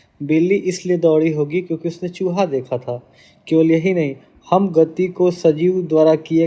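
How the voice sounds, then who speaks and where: Very slowly, a man speaks in a fairly high voice. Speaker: teacher. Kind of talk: lecture.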